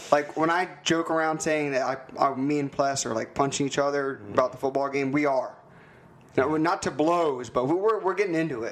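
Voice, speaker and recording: Speaking at a moderate pace, a man has an ordinary speaking voice pitched fairly high. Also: ordinary pitch variation. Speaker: podcast host and football fan. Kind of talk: casual sports talk.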